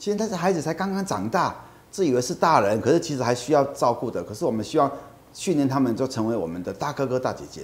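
Talking at a very fast pace, a man at medium pitch swings his pitch very widely and slips into vocal fry. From Taiwan, Kaohsiung. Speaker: nonprofit executive. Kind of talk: interview.

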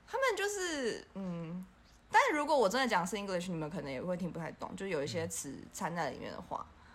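A woman talks at a fairly quick pace. Audible room echo and noticeable background noise surround her voice. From Taiwan. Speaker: expat office worker. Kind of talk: casual chat.

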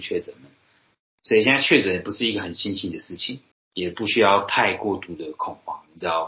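A man talks at a fairly quick pace in a plain, everyday voice with a fairly low pitch. His pitch varies in an ordinary way while his loudness swings widely. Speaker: podcast host. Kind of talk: casual chat.

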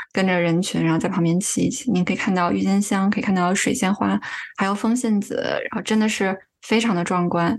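A woman speaks at a fairly quick pace in a normal speaking voice. Her pitch is medium, with ordinary variation. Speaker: user experience researcher. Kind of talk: casual interview chat.

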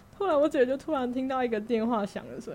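Intonation lively and pace fairly quick, a woman speaks. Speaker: guest sharing working holiday stories. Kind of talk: casual chat. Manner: calm and even.

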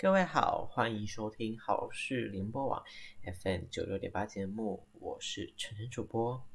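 Talking rather unhurriedly, a man with a mid-range pitch and a slightly breathy voice varies his pitch in a typical way. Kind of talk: casual radio show talk. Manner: soft-spoken.

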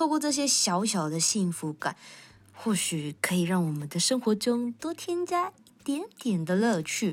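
A somewhat breathy voice at a fairly slow pace, with very wide pitch swings and big swings in loudness, on a very clean recording with a silent background. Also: woman, fairly high pitch for a woman. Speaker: podcast host. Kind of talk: casual monologue. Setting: recording at the office. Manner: animated.

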